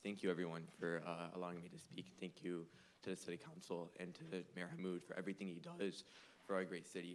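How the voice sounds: A man puts on a raspy character voice with a very deep, low pitch and fairly even intonation. He talks at a fairly quick pace against clear background noise.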